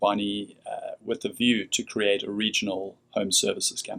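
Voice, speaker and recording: At a moderate pace, a man speaks with a South African accent. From South Africa, Cape Town. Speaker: company CEO. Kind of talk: radio interview.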